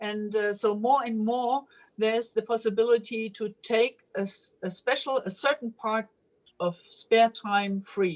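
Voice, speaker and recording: Fairly even intonation in a woman's fairly high voice. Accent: German. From Germany. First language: German. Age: 50s. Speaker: police officer. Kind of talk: interview answer. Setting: video call.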